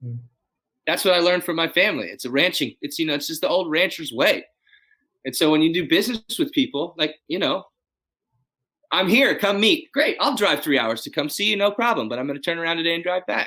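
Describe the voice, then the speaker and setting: With an American accent, a man races along at a very fast pace, his high, bright, sharp voice making very wide pitch swings. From Texas, Dallas. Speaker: custom tailor and rancher. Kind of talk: casual interview. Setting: video call. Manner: animated.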